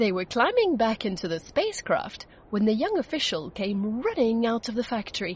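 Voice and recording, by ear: A natural voice reading a text aloud.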